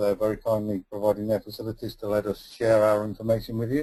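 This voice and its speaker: Talking at a very fast pace, a man with a slight northern English accent has a fairly low pitch and a dark, mellow tone. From northern England. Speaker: energy efficiency consultant. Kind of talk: webinar presentation. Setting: online webinar. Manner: hesitant with fillers.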